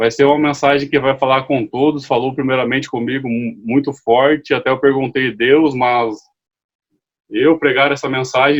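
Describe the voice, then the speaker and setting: Speaking at a moderate pace, a man uses a medium pitch with monotone, flat intonation. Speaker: lay preacher. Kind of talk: sermon. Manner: halting.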